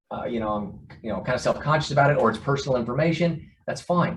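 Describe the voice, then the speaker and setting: Somewhat breathy, a man talks at a medium pitch with ordinary pitch variation. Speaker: organization CEO. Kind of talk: online town hall address. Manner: fast.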